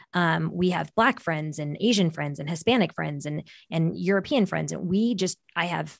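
A woman speaks at a fairly quick pace in a Californian accent, with vocal fry. Her pitch is fairly low and the background quiet. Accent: Californian American. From US West Coast, San Francisco Bay Area. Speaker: business coach and consultant. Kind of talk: interview conversation.

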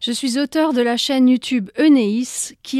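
A woman's high-pitched voice comes through dry and close with no echo, on a very clean recording with a silent background. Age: 40s. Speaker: breast cancer survivor and YouTuber. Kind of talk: scripted narration.

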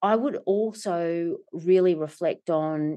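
In an Australian accent, a woman speaks in a fairly low, dark, mellow voice with ordinary pitch variation against a quiet background. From Australia, Melbourne. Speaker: company director and executive coach. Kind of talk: interview. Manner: animated.

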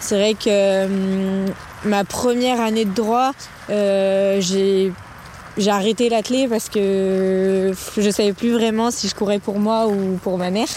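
A woman's medium-pitched, monotone voice with flat intonation, very slow pace and very even loudness, over noticeable background noise. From Lyon, France. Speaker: trail runner and lawyer. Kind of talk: casual interview. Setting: at home.

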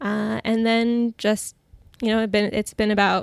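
A woman speaks in a plain, everyday voice at medium pitch, with fairly even intonation and a dry, close sound with no echo on a very clean recording over a silent background. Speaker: dietitian. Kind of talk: interview conversation. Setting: in person.

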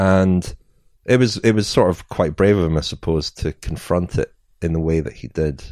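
A man speaks in a Scottish accent with a very deep, low pitch. The sound is dry and close, with no echo. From Scotland. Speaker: cycling journalist and author. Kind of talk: interview.

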